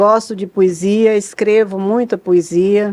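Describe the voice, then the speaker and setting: A woman at a medium pitch, with a dark, mellow tone and a fairly slow pace. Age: 80s+. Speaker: psychologist. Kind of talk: podcast interview. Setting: studio.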